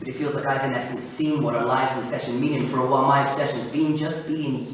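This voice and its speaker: Noticeable background noise surrounds a man with a fairly high pitch. He speaks at a fairly quick pace with fairly even intonation. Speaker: spoken word poet. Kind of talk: spoken word poetry performance. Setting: live event in a church.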